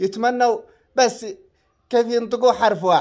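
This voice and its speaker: In a very clean recording with a silent background, a man with a Yemeni accent speaks at a moderate pace. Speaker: social media content creator. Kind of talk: angry rant to followers. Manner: animated.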